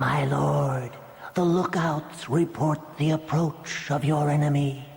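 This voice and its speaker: Someone speaks at a fairly slow pace in a put-on character voice with a low-to-middle pitch. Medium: read story. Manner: servile.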